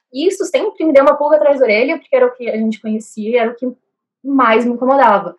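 A woman speaks at a high pitch with lively intonation. Her pace is very fast. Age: 20s. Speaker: law student and artist. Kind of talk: casual chat.

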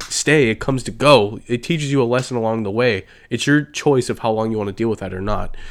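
Here a man speaks in a normal speaking voice with an American accent. His pitch is medium and his pace moderate. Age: 20s. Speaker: podcast host. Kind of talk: casual solo monologue. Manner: casual, filler-heavy.

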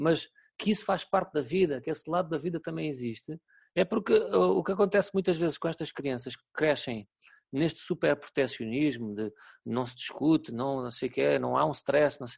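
A man with a European Portuguese accent speaks at a moderate pace, his pitch fairly high and his intonation lively. The sound is dry and close with no echo, over a quiet background. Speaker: teacher. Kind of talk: casual interview. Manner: halting.

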